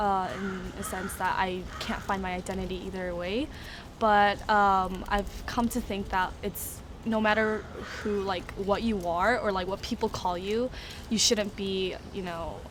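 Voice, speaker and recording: With a Korean accent, a woman speaks fairly slowly at medium pitch with fairly even intonation. Audible room echo surrounds her voice. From South Korea. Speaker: interviewee. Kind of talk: interview.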